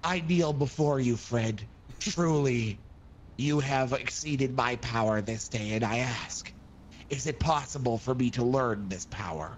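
Over clear background noise, a man uses a put-on character voice at medium pitch and a moderate pace. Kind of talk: theatrical fantasy roleplay. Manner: dramatic, solemn.

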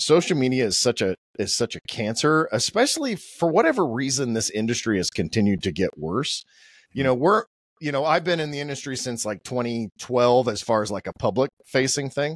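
Against a quiet background, a man with an American accent talks fairly quickly at medium pitch with lively intonation. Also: dry sound with no echo. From Oklahoma. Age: 50s. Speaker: podcast host. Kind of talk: casual interview. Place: studio. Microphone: studio mic.

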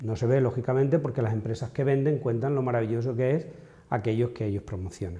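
The voice is somewhat breathy, with a dark, mellow tone. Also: man. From Extremadura, Spain. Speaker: pharmacogenetics researcher. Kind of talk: interview. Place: hall. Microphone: lapel.

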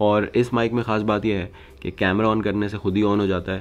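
In an unremarkable speaking voice, a man talks fairly slowly at a fairly low pitch. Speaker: vlogger. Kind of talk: casual vlog chat. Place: home room.

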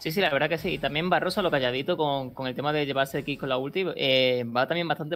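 Very fast and very deep, a woman's low-pitched voice moves with ordinary pitch variation. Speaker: esports caster, analyst. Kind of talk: live esports commentary, analytical color. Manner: measured, conversational.

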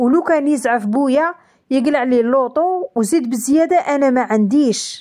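Her dark, mellow tone sits at a high pitch as this woman talks at a fairly slow pace with very even loudness and ordinary pitch variation. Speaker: storytelling YouTuber. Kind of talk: reading aloud a first-person story.

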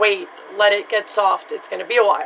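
Background noise is light. A woman speaks at a moderate pace. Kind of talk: casual tutorial vlog chat. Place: bathroom. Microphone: phone near.

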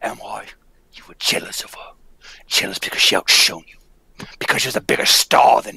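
A raspy, put-on character voice at a moderate pace. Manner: accusing, grief-stricken.

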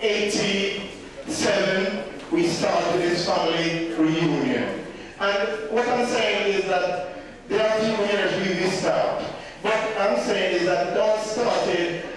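Speaking at a very slow pace and a high pitch, a man is heard with strong room echo and noticeable background noise. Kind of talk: speech to gathering. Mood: warm, earnest. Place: hall. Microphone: camera far.

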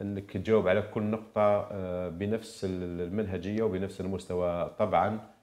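A man speaks with an Algerian accent at a fairly slow pace. His pitch is fairly low and his intonation monotone and flat. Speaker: legal analyst. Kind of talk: TV interview analysis. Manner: halting.

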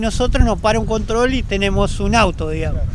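The man's pitch is high. The sound is dry with no echo, over light background noise. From Argentina. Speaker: rowing club member and nautical course organizer. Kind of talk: interview. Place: street. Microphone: handheld.

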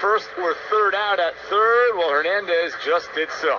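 At a fairly slow pace, a man with a high pitch talks with ordinary pitch variation over noticeable background noise. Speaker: baseball play-by-play announcer. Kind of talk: live radio sports play-by-play. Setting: radio broadcast. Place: booth.

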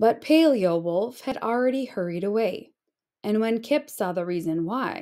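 Someone is reading aloud in a natural voice with lively intonation. The background is quiet.

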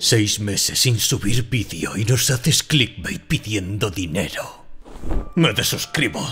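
Over clear background music, a man with a fairly low pitch speaks at a fairly slow pace with lively intonation. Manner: indignant, haughty.

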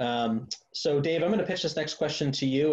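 A man's somewhat breathy voice against a quiet background. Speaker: nonprofit outreach coordinator; webinar moderator. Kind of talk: webinar moderation. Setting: video call. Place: home room. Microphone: video call.

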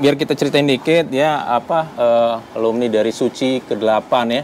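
Hardly pausing, a man speaks at a moderate pace with ordinary pitch variation. Light background noise sits behind him. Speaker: interviewer and channel host. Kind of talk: casual interview questions. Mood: relaxed, friendly. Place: cafe.

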